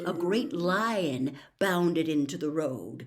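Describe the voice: A woman's voice at a slow pace. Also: slightly mellow tone.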